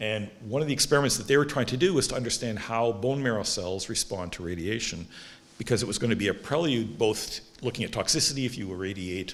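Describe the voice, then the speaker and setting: Over audible room echo, a man speaks very fast with lively intonation. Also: medium pitch for a man. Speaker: stem cell researcher, award laureate. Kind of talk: lecture. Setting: stage with audience.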